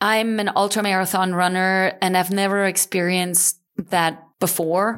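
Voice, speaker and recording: This is an ordinary speaking voice at a fairly slow pace with fairly even intonation. The recording is very clean, with a silent background. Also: woman. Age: 40s. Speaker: ocean rower. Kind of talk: interview.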